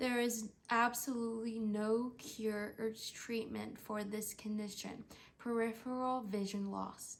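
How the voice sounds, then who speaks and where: Speaking at a fairly slow pace, a woman keeps her fairly high pitch in a monotone, flat intonation. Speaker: stroke survivor. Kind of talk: scripted narration. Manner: halting.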